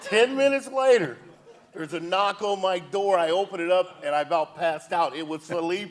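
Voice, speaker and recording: Over noticeable background noise, a man with a high pitch talks at a moderate pace using lively intonation. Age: 60s. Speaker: former baseball player, youth coach. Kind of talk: talk show interview.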